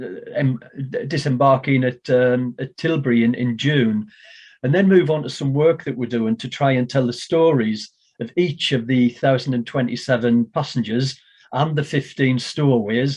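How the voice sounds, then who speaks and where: A man talks at a moderate pace and a medium pitch. He has a plain, everyday voice. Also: fairly even intonation. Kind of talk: talk to an online audience about Windrush history.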